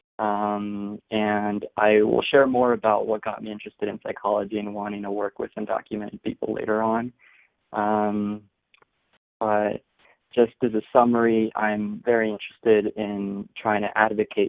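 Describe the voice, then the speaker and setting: In a monotone, flat delivery, a man with a fairly low pitch speaks at a moderate pace. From California (born in Guadalajara, Mexico). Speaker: psychology doctoral student. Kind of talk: webinar panel introduction. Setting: live webinar.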